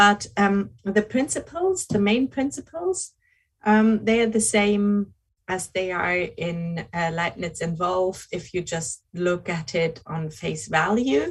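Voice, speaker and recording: A very slow, somewhat breathy voice with a German accent, ordinary pitch variation and a quiet background. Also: woman, medium pitch for a woman. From Germany. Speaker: philosophy researcher. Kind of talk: academic lecture. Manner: slow, hesitant with many fillers.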